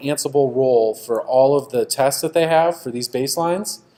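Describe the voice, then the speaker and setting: A man with a normal speaking voice talks at a moderate pace. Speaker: conference speaker. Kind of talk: technical conference talk.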